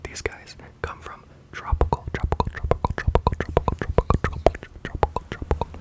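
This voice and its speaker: Someone whispers at a moderate pace amid noticeable background noise. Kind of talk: ASMR reading of insect facts. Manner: whispered; soft-spoken.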